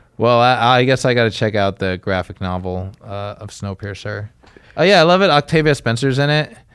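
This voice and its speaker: Using a normal speaking voice at medium pitch, a man talks at a fairly quick pace with lively intonation. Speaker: podcast co-host. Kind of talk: casual banter, comedy podcast.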